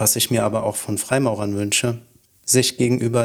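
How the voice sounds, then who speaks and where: A man talks in a monotone with flat intonation. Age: 30s. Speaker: freemason. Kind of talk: scripted dialogue.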